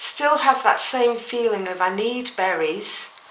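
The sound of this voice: A woman talks with fairly even intonation and a fairly bright tone, with audible room echo.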